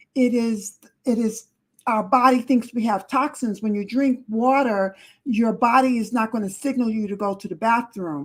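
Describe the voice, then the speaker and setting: A woman with a fairly high pitch talks at a moderate pace, her voice somewhat breathy and her pitch varying in an ordinary way. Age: 70s. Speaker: relative giving health advice. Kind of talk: casual chat. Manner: emphatic.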